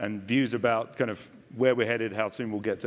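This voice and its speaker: With an English accent, a man talks at a fairly quick pace in a fairly low voice with fairly even intonation. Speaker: investment panelist. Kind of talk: conference panel discussion.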